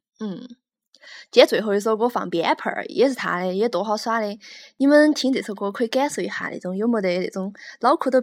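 With a Chengdu accent and a fairly high pitch, a woman speaks at a fairly quick pace with long, frequent pauses and ordinary pitch variation, in a very clean recording with a silent background. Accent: Chengdu Sichuanese. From Chengdu, Sichuan. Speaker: radio host. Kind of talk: casual chat.

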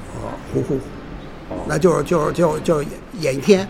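Music plays in the background and the room echo is audible as a man talks at a moderate pace with ordinary pitch variation. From Beijing. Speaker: retired university teacher and film collector. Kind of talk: oral history interview. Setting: pizza restaurant. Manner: halting, repetitive. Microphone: poor sound quality.

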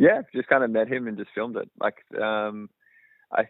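A man speaks with an Australian accent. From Australia, outside Melbourne. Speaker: film director and cinematographer. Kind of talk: interview. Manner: casual, many fillers.

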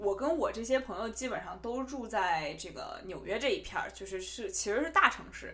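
A woman speaks with a strong Beijing accent at a high pitch. Her pitch swings very widely, and the room echo is audible. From Beijing, China. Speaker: podcast host. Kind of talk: casual solo podcast talk.

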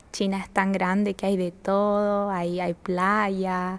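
A woman's medium-pitched voice, flat and monotone, at a fairly slow pace. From northern Chile, La Serena. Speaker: university student. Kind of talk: interview.

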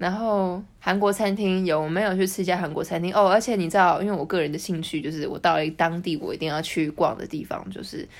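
On a very clean recording with a silent background, a woman in a normal speaking voice talks at a medium pitch and a fairly quick pace, with fairly even intonation and hardly any pauses. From Taiwan. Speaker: social media editor and Russian translator. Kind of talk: casual interview.

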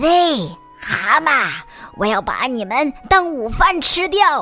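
Using a put-on character voice, a woman speaks very slowly at a high pitch, with faint music in the background and some hissing. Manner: hissing, threatening.

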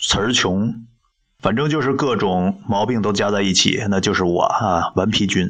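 This man talks at a moderate pace in a fairly low voice, with ordinary pitch variation and very even loudness. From China. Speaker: podcast host reading books aloud. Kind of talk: casual monologue with book reading. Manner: halting, hesitant with many fillers.

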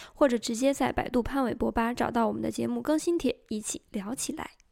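This woman has a high voice and talks at a moderate pace over a very clean recording with a silent background. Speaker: fan radio host. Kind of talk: scripted narration.

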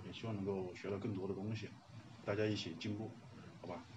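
Audible room echo surrounds a man who speaks very fast at a fairly low pitch. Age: 30s. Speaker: workshop participant and film fan. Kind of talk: self-introduction to a class.

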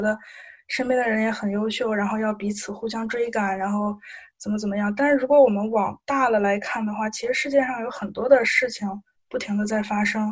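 A somewhat breathy woman speaks at a fairly quick pace with fairly high pitch and fairly even intonation. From Shandong. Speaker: student volunteer. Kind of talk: casual interview.

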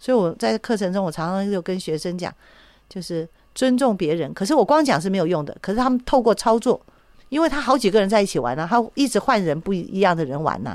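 Very fast speech with very wide pitch swings comes through on a very clean recording with a silent background. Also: woman, medium pitch for a woman. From Taiwan. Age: 60s. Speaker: psychological counselor. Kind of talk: radio interview.

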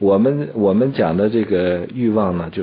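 A man with a plain, everyday voice speaks at a moderate pace, his pitch fairly low and its variation ordinary. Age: 40s. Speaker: traditional Chinese medicine teacher. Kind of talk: educational radio conversation.

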